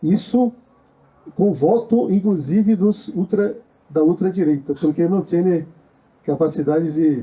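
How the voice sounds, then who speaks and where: A man with a high pitch and a dark, mellow tone talks at a fairly slow pace, keeping very even loudness and ordinary pitch variation, with long, frequent pauses. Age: 60s. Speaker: social movement activist. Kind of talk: panel discussion. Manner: halting.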